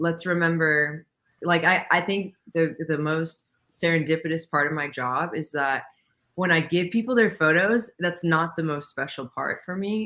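An American accent at a fairly slow pace, on a very clean recording with a silent background. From Texas, Dallas area. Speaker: photographer and videographer. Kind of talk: interview.

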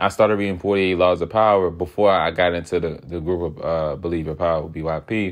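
With an American accent, a man speaks at a very fast pace, hardly pausing at all. His pitch is very deep and low, and his intonation fairly even. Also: quiet background. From Southeast Washington DC. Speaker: podcast host. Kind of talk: solo casual monologue.

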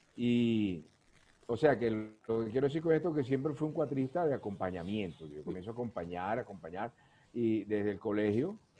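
An unremarkable speaking voice from a man, medium in pitch, at a fairly quick pace with lively intonation and big swings in loudness. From Venezuela, Guayana region. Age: 60s. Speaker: cuatro musician. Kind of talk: casual interview chat.

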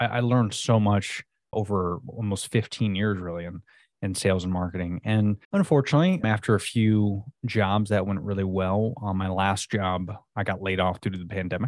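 In a normal speaking voice, a man with an American accent talks at a moderate pace and fairly low pitch, his intonation fairly even, with a quiet background. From Florida. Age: 30s. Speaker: entrepreneur, subscription box co-founder. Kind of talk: casual interview.

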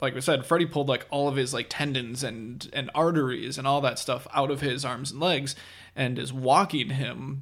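An unremarkable speaking voice: a man at a fairly high pitch, with fairly even intonation and a moderate pace. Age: 20s. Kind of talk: casual chat.

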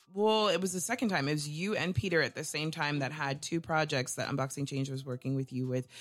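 The speech is very fast and animated, with hardly any pauses. The recording is very clean, with a silent background. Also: woman, very deep, low pitch for a woman, ordinary pitch variation. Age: 30s. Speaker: radio show host. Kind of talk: casual interview.

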